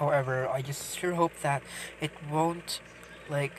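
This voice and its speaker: The speaker talks at a very slow pace. Noticeable background noise runs underneath. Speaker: gaming YouTuber. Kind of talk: casual game commentary. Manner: stuttering, hesitant.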